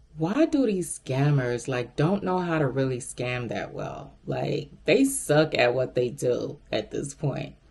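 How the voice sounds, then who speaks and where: A woman speaks at a very slow pace with hardly any pauses. There is noticeable background noise. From Miami, Florida. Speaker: recruiter vlogger. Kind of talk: casual storytelling vlog. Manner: animated.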